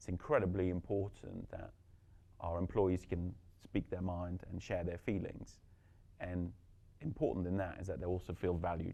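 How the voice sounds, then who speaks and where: Dark and mellow in tone, a man speaks with a very deep, low pitch at a moderate pace. Long, frequent pauses break up his speech. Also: ordinary pitch variation. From Belgium. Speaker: company executive. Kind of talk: panel discussion.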